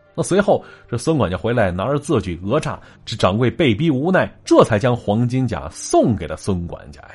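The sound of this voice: Reading in an unforced voice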